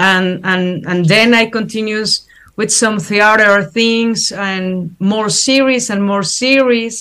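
A woman speaks in a Spanish accent at a medium pitch, her tone bright and sharp and her intonation fairly even. Her pace is very slow with hardly any pauses, and the recording is very clean with a silent background. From Mexico. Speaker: actress. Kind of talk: interview. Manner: halting.

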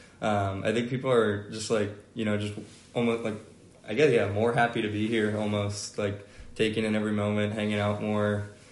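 In a room with audible echo, a man speaks at a fairly quick pace, fairly low in pitch, with monotone, flat intonation. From Atlanta, Georgia. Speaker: college football player. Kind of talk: podcast interview. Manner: hesitant, many fillers.

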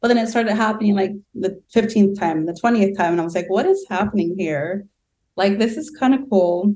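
A woman's dark, mellow voice with an American accent. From Southern California. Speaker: UN intern in development programs. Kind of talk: interview conversation.

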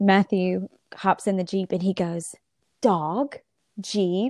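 A woman speaks at a medium pitch with a Southern US accent and a dark, mellow tone. The sound is dry and close with no echo, on a very clean recording with a silent background. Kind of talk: casual interview chat.

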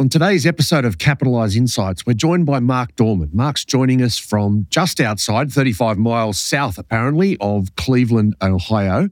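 The speaker has an Australian accent and lively intonation, with very even loudness. The pace is moderate, with hardly any pauses. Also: man, medium pitch for a man. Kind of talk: interview. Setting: remote call.

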